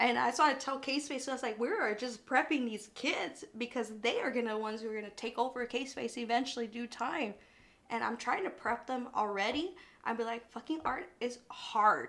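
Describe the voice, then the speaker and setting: A woman speaks in a South Texas accent at a moderate pace. Her high-pitched voice carries an animated tone. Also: ordinary pitch variation. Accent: South Texas Mexican-American English. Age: 30s. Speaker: artist. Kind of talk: casual chat.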